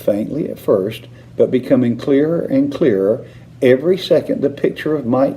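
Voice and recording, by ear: A natural voice reading aloud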